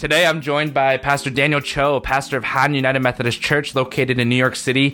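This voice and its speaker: A fairly high-pitched man with an American accent, very fast and monotone, flat, with very even loudness and noticeable background noise. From US, Korean American. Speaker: pastor and podcast host. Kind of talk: casual interview chat.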